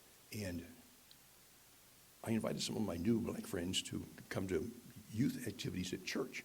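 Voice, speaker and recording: Long, frequent pauses break up speech with ordinary pitch variation, and audible room echo fills the recording. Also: man, fairly low pitch for a man, moderate pace. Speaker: guest speaker. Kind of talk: personal testimony in worship service. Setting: church with live audience. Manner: halting.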